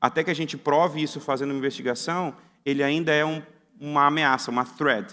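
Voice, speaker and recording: With a Brazilian accent, a man talks at a fairly quick pace in a bright, sharp tone and fairly even intonation, on a very clean recording with a silent background. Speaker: security researcher, conference speaker. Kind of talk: conference talk. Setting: conference hall with audience. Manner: casual, conversational.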